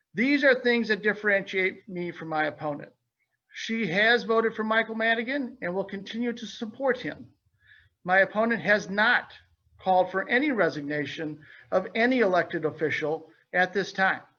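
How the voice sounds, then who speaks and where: A man raises and projects his voice at a high pitch. His tone is bright and sharp, and his pace is moderate. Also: ordinary pitch variation. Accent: Midwestern American. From Illinois. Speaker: state representative candidate, small business owner. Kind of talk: opening statement at candidate forum. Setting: virtual webinar forum.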